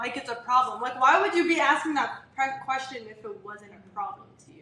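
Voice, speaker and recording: Pitched high, a woman projects a raised voice with lively intonation and big swings in loudness. Noticeable background noise runs behind her. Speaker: live stream co-host. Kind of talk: live stream Q&A argument with caller. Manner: laughs a lot.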